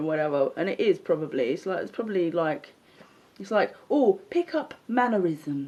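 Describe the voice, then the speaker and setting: A woman's dark, mellow voice at medium pitch, moving at a moderate pace. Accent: London. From London. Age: 40s. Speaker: social media livestreamer. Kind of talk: casual monologue rant. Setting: live stream. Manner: animated. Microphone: unstable connection.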